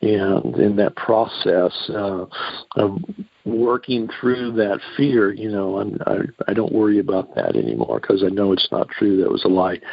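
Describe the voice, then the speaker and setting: A man with a fairly low pitch speaks at a fairly slow pace with fairly even intonation. Noticeable background noise is present. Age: 60s. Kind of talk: teaching on a call-in radio show. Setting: phone call.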